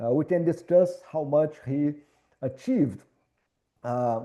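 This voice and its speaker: With a Minas Gerais accent, a man speaks at a fairly slow pace in a fairly high, dark, mellow voice with ordinary pitch variation. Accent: Brazilian (Minas Gerais). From Brazil, Minas Gerais. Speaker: architecture professor. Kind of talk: lecture.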